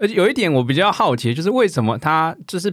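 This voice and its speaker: On a very clean recording with a silent background, a man's fairly high voice makes very wide pitch swings. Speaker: podcast co-host. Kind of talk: casual chat.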